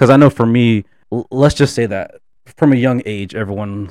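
Here is an ordinary speaking voice from a man, pitched in the medium range. He talks at a moderate pace with ordinary pitch variation. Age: 20s. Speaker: photographer and student. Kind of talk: casual chat. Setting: studio.

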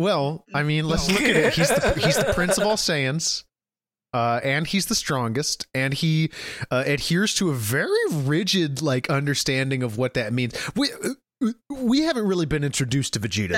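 Lively intonation in an American accent, with very even loudness and a moderate pace. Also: man, fairly high pitch for a man. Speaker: podcast host.

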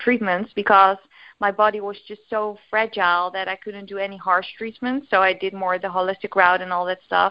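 Monotone and flat, a woman speaks with a Dutch accent. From Netherlands. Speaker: eating disorder recovery coach. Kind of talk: casual interview chat. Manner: hesitant, filler words.

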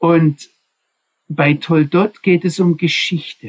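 A man with a high pitch speaks in a dry, close sound with no echo. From Swabia, southwestern Germany. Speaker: Bible teacher. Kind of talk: Bible study lecture. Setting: video call.

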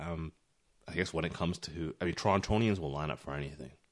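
In a very deep, low register, a man talks with vocal fry while his pitch shifts in an ordinary way. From Toronto, Canada. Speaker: podcast co-host. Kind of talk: casual chat. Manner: casual, conversational.

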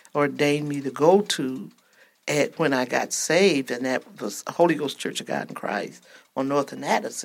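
On a very clean recording with a silent background, a woman talks with a very deep, low pitch. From Georgia. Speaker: grandmother, guest. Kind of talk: casual chat. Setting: studio.

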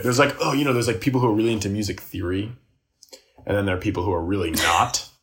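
Very fast and somewhat breathy, a man talks at a fairly low pitch. His pitch varies in an ordinary way. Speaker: musician and comedian. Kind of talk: casual chat.

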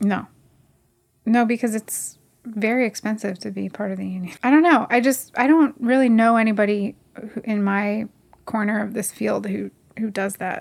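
A plain, everyday voice from a woman with an American accent, fairly high in pitch, at a moderate pace with ordinary pitch variation. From New Jersey. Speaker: documentary filmmaker and editor. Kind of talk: casual interview.

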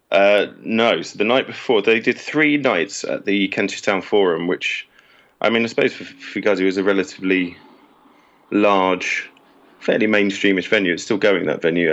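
With a British accent, this man speaks at a moderate pace and shows ordinary pitch variation. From England. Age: 30s. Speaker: writer and publisher, Fugazi fan. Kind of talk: casual interview chat.

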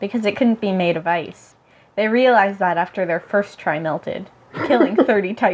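An unforced reading voice carries the words, its pitch shifting in an ordinary way.

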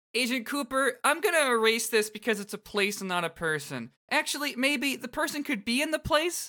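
A man speaks in a raised, projected voice with an extremely high pitch. He moves at a fairly quick pace with hardly any pauses. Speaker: podcast co-host. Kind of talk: casual chat, podcast discussion. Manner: casual, hesitant, stammering.

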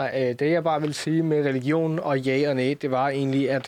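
His fairly high voice stays in a monotone, flat intonation as this man talks. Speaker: coder. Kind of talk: casual chat.

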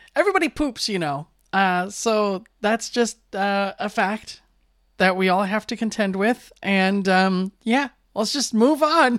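A woman speaks fairly slowly in an ordinary speaking voice, medium in pitch with lively intonation. The recording is very clean and dry, close with no echo, over a silent background. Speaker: radio host. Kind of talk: casual chat. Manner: rambling.

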